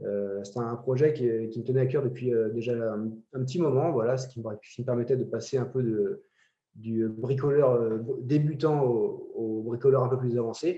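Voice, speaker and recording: Here a man talks at a moderate pace and medium pitch, sounding somewhat breathy. His intonation stays fairly even. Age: 30s. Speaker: amateur woodworker. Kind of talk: interview. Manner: hesitant, many fillers.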